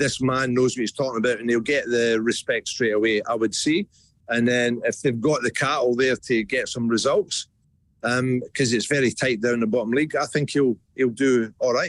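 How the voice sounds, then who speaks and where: In a Scottish accent, a man speaks at a moderate pace and a medium pitch with fairly even intonation. His loudness stays very even, and the sound is dry and close with no echo. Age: 60s. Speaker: football club CEO. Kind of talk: radio interview.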